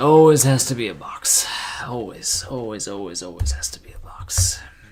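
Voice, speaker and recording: Moderate pacing over music in the background. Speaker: gaming streamer. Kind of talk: casual live stream commentary.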